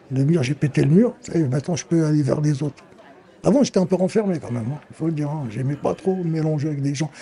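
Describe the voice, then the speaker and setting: A fairly high-pitched man races along at a very fast pace with ordinary pitch variation. Noticeable background noise can be heard. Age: 60s. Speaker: amateur actor, senior supported by a charity. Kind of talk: interview testimony. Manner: animated.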